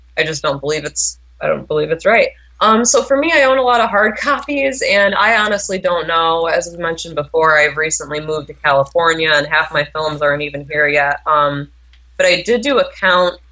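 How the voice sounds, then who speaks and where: The speaker talks at a fairly quick pace with lively intonation against noticeable background noise. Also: woman, fairly low pitch for a woman. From New York. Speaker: horror film reviewer. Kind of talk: interview. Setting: phone call.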